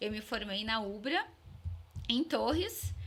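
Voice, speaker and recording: A woman's voice at a fairly high pitch. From Vacaria, Rio Grande do Sul, Brazil. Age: 30s. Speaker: dentist. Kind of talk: interview.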